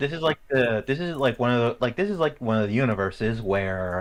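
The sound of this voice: The reading voice is unforced. Its intonation comes across as lively.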